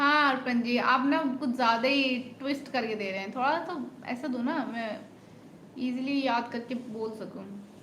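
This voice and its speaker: A woman with a high-pitched voice and ordinary pitch variation is heard over noticeable background noise and audible room echo. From India, Lucknow, Uttar Pradesh. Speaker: live streamer. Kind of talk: live stream chat with viewers.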